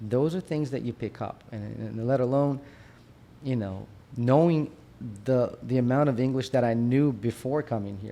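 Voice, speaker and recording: The speaker has a Brazilian Portuguese accent and a moderate pace. The tone is dark and mellow. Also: man, medium pitch for a man, ordinary pitch variation. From Brazil, Minas Gerais. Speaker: periodontist. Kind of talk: casual interview. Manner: halting, many restarts.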